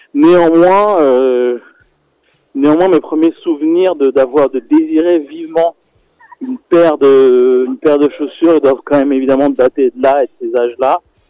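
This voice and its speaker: A man speaks fairly slowly at a fairly high pitch. The pitch varies in an ordinary way. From Senegal. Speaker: documentary filmmaker. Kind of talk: radio interview. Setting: phone call. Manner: halting, many repetitions.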